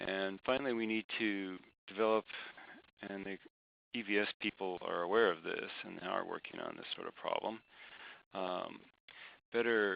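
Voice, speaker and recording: Soft-spoken and fairly low-pitched, a man talks at a fairly slow pace with fairly even intonation. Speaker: climate scientist presenting research. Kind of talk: webinar presentation. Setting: online webinar.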